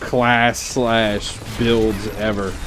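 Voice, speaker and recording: A fairly low-pitched man with a Louisiana accent, amid noticeable background noise. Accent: Southern US, Louisiana country. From US South, Louisiana. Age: 30s. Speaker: gaming streamer. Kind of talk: live gameplay commentary.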